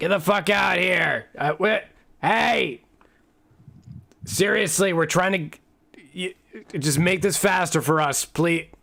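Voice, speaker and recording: A man's put-on character voice, shouting, gravelly and raspy, high in pitch with ordinary variation, at a fairly slow pace with long, frequent pauses. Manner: yelling, impatient.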